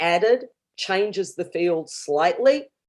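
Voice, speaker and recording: This woman has a dark, mellow tone, a medium pitch and ordinary pitch variation. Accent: Australian. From Australia. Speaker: professor. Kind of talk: academic conference talk. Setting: virtual conference livestream.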